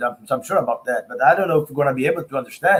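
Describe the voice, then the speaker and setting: Speaking in an American accent, a man's intonation rises and falls in a lively way. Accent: American-tinged English. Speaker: spiritist researcher and speaker. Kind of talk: lecture. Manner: halting.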